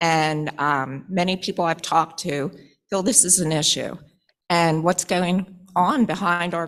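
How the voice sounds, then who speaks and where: A woman speaks in an ordinary speaking voice with a fairly low pitch. Her pace is fairly slow and her intonation fairly even. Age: 60s. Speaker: citizen making public comment. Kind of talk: public comment. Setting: public board meeting.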